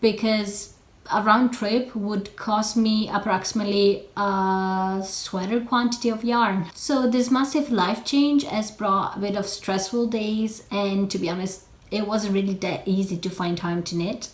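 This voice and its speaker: Someone with an Italian accent speaks at a fairly slow pace with fairly even intonation over noticeable background noise. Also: woman, medium pitch for a woman. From Italy. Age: 20s. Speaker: knitting podcaster. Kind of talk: casual vlog chat. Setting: in front of a camera.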